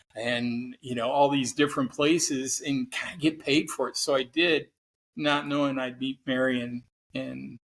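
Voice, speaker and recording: Here a man speaks in an American accent at a moderate pace. His medium pitch is delivered in a monotone, flat intonation. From Oregon, US Pacific Northwest. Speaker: psychotherapist and cancer survivor. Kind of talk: podcast interview, personal story.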